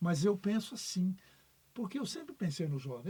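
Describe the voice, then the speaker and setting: The man's tone is dark and mellow. He talks at a moderate speed. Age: 70s. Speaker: retired basketball referee. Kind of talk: podcast interview.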